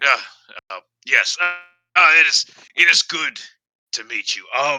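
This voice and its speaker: In a raspy put-on character voice, a man talks at a fairly high pitch and moderate pace with ordinary pitch variation, the sound dry and close with no echo. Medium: actual play. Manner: formal, halting.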